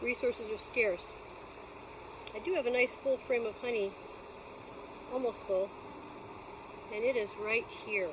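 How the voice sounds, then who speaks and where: Noticeable background noise sits behind a woman at a fairly high pitch. She talks at a fairly slow pace with ordinary pitch variation and long, frequent pauses. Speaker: beekeeper. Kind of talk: tutorial. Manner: sometimes slightly slurred speech; casual.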